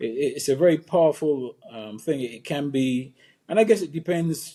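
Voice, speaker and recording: Speaking at a fairly slow pace, a man uses a fairly high pitch and a dark, mellow tone. His intonation is lively, and his loudness swings widely. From Barbados, rural St. Philip. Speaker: former cricketer, consultant and speaker. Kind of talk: interview conversation. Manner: hesitant, many fillers.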